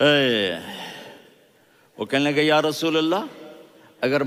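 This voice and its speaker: An ordinary speaking voice from a man, pitched fairly high, its pitch variation ordinary. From Pakistan. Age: 60s. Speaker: Islamic preacher and scholar. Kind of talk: religious sermon (bayan) to a congregation. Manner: emotional, storytelling.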